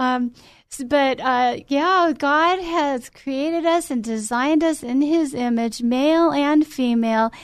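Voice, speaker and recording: Speaking at a very slow pace, a woman uses a high pitch with ordinary pitch variation against a quiet background. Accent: American. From US West Coast (Glendale, California). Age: 50s. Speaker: town council member and political candidate. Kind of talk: radio interview.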